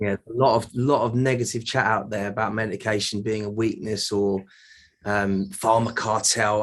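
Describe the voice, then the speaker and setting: Speaking at a fairly quick pace, a man uses a medium pitch and fairly even intonation. He has a British accent. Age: 30s. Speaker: mental health advocate. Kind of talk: interview. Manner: halting.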